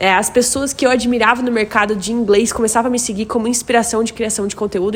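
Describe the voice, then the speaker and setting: A woman talks at a fairly quick pace, her fairly high pitch showing ordinary variation. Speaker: content creator and English teacher. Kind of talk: casual talk to camera. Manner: fast.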